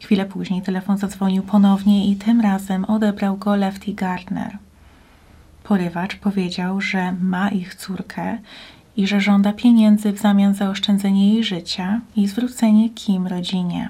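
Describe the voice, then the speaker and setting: A woman with a Polish accent speaks in a serious tone with flat, monotone intonation. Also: medium pitch for a woman, moderate pace. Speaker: true crime YouTuber. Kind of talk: true-crime narration. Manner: grave, even, measured storytelling pace; serious, suspenseful, matter-of-fact.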